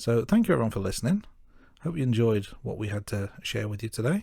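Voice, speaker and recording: With an English Midlands accent, a man at medium pitch has a dark, mellow tone in a very clean recording with a silent background. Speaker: podcast co-host. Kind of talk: podcast outro; casual chat.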